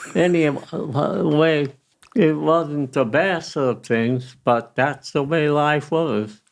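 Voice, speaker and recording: A man with an American accent talks very slowly at a fairly high pitch. His loudness is very even, and his pitch varies in an ordinary way. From Colorado, USA. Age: 80s+. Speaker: retired landscaping business owner. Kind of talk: interview answer.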